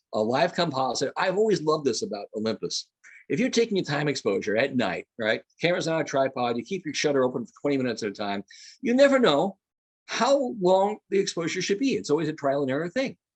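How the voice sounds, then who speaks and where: Recorded with a dry, close sound and no echo, a man talks very fast at a fairly high pitch, his pitch swinging very widely. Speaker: photography educator. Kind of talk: lecture. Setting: video call. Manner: animated.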